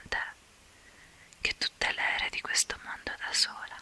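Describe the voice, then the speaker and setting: A woman whispering at a fairly slow pace, dry and close with no echo, over noticeable background noise. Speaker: ASMR content creator. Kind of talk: ASMR whispered talk to camera. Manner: whispered, soft-spoken.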